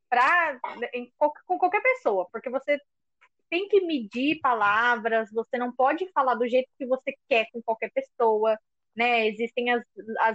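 A woman with a coastal São Paulo accent speaks high-pitched with lively intonation in a dry, close sound with no echo. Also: fairly slow pace. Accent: coastal São Paulo (caiçara). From São Paulo coast (caiçara). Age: 20s. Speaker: podcast co-host, schoolteacher. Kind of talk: casual chat.

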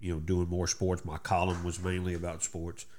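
This man's voice sits very deep and low. He speaks with a Texan accent. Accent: Southeast Texas Southern. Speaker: radio host. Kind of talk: casual interview chat.

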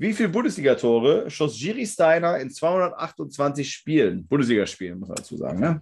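Pitch swings very widely, with vocal fry, at a moderate pace. The background is quiet. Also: man. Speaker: quiz podcast host. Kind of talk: quiz show. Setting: video call.

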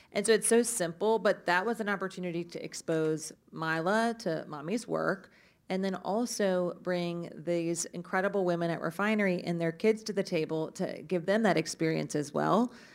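A woman with a plain, everyday voice speaks at a moderate pace and medium pitch, with ordinary pitch variation. The recording is very clean, with a silent background. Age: 30s. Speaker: media advertising executive. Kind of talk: live panel discussion. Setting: stage with audience.

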